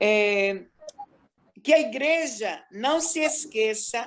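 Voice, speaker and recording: Very wide pitch swings mark this woman's fairly high-pitched speech. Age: 60s. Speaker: missionary. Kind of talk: interview testimony.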